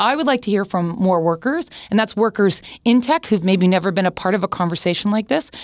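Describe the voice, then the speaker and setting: On a very clean recording with a silent background, a woman in a plain, everyday voice talks at a fairly quick pace with medium pitch, lively intonation and very even loudness. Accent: Canadian. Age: 40s. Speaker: tech and social media executive. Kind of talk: podcast interview.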